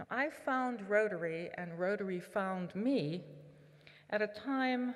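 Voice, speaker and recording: Fairly slow speech from a woman, medium in pitch, with normal pitch movement. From southwestern Pennsylvania (Pittsburgh area). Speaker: Rotary leader, conference speaker. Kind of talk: keynote speech.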